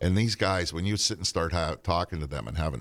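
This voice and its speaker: A man with a Western Pennsylvania accent, very deep and low in pitch with vocal fry, in a dry, close sound with no echo. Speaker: podcast host, musician. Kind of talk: casual chat.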